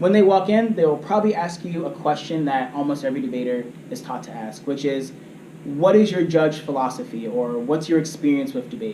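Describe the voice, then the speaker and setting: Lively intonation and big swings in loudness come at a fairly quick pace, with audible room echo and light background noise. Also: man, fairly high pitch for a man. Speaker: debate coach. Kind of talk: training lecture. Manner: fast. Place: meeting room. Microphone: camera far.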